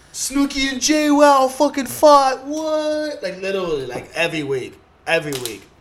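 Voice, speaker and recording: The voice moves at a moderate pace in an animated tone, with very wide pitch swings. Noticeable background noise runs underneath. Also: man, extremely high pitch for a man. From Southern California. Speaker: comedian. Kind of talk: casual chat.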